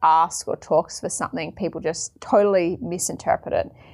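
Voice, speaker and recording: A woman's fairly low pitch and fairly even intonation on a very clean recording with a silent background. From Australia. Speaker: podcast host. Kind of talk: solo reflective monologue. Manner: casual, conversational.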